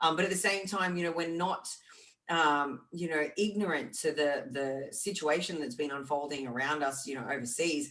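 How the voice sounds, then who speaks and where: With an Australian accent, a woman with a fairly low voice talks at a moderate pace with lively intonation. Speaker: fitness podcast co-host and fitness champion. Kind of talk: casual chat.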